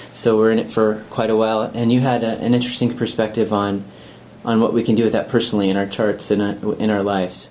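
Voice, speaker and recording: Talking at a very fast pace, a man keeps a monotone, flat intonation and very even loudness. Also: fairly low pitch for a man. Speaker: interviewer. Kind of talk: interview chat. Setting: conference.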